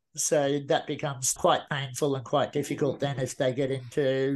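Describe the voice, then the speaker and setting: In an Australian accent, a man talks at a moderate pace with hardly any pauses. His fairly high voice carries monotone, flat intonation over a quiet background. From Australia, rural Queensland. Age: 40s. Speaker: motivational speaker. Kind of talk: interview.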